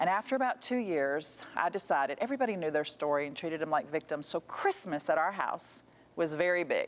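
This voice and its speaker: A woman speaks at a fairly low pitch. Her tone is animated and her intonation lively. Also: fairly quick pace. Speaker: author and charity founder. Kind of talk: interview storytelling.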